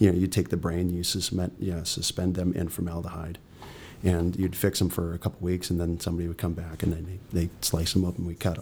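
The man's voice is very deep and somewhat breathy. He goes very fast in a flat monotone. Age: 40s. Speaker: actor. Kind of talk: casual interview. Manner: halting.

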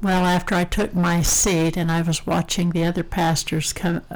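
A woman's voice over noticeable background noise. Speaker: retired woman sharing faith. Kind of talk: testimony.

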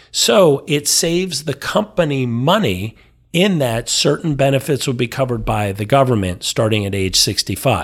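A man's energetic, medium-pitched voice at a moderate pace, with very wide pitch swings, on a very clean recording with a silent background. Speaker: financial planner. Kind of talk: casual chat.

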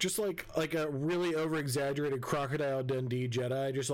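Someone is reading aloud in a natural voice here.

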